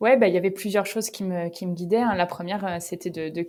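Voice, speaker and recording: Her pace is fairly quick. This woman has a medium pitch and fairly even intonation. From northern France, Picardy (Creil). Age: 30s. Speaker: company founder. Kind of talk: podcast interview. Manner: casual, hesitant with many fillers.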